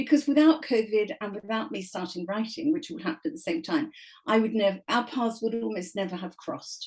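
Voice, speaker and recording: A woman with an English accent speaks with very wide pitch swings. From England. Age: 70s. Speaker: author. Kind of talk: podcast interview.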